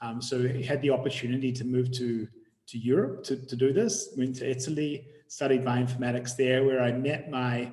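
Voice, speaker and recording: With a New Zealand accent, a man speaks at a moderate pace and medium pitch. His intonation is fairly even. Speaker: tech company CEO and bioinformatician. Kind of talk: webinar presentation. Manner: halting, repeats words.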